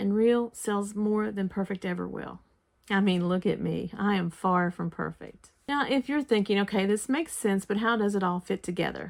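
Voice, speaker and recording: Here a woman uses a plain, everyday voice at medium pitch and a moderate pace, with ordinary pitch variation. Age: 60s. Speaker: online marketing vlogger. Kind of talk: sales pitch. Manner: folksy, earnest.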